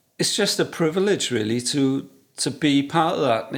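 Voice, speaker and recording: Speaking with a South Wales Valleys accent, a man uses medium pitch and a moderate pace. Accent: Welsh (South Wales valleys). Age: 60s. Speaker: photographer. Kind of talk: casual interview chat.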